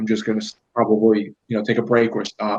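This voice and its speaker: This man talks with a New York accent. His pace is fairly quick. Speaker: YouTuber. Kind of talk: casual chat.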